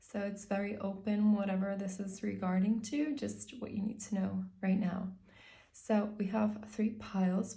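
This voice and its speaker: A woman's medium-pitched, somewhat breathy voice, dark and mellow in tone, with fairly even intonation at a moderate pace. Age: 20s. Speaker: tarot reader. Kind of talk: tarot reading to camera.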